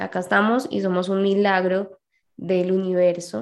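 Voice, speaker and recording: A woman speaks with a Colombian accent. Her pitch is medium. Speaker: podcast co-host. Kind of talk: casual chat.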